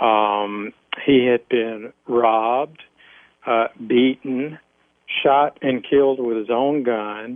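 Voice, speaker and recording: A man with an American accent speaks at a very slow pace. His pitch is medium and his intonation fairly even. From US South, Alabama. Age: 50s. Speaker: former police officer. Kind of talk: interview testimony.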